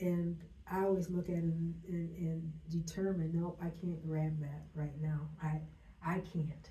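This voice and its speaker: A woman speaks at a fairly slow pace in a fairly low voice, her intonation flat and monotone and her loudness very even, with audible room echo. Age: 70s. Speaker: business owner. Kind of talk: interview. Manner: halting.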